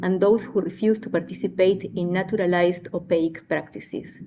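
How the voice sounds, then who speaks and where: A woman's medium-pitched voice in an Argentine accent, fairly quick in pace and fairly even in intonation. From Argentina. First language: Spanish. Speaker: anthropologist. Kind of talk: conference address. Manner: formal.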